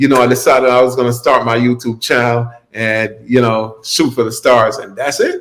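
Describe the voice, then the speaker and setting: With an American accent, a man speaks at medium pitch and a moderate pace, with hardly any pauses and a monotone, flat intonation. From South Florida, Opa-locka, Jamaican family. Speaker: YouTuber and gig-economy entrepreneur. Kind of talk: podcast interview.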